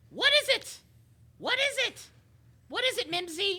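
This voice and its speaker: A woman speaks at a moderate pace in a squeaky, put-on character voice pitched extremely high. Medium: actual play. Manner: huffy, exclamatory.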